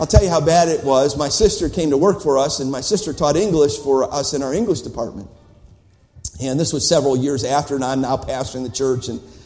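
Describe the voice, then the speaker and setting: Over noticeable background noise, a man with a fairly high pitch talks very fast. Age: old. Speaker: visiting preacher at missions conference. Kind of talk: sermon. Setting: church. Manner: animated.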